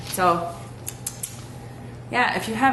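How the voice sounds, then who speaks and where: A woman speaks at a fairly slow pace and a medium pitch, her voice swinging very widely in pitch, with noticeable background noise and audible room echo. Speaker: mom vlogger. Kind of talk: casual vlog update. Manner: casual with many fillers.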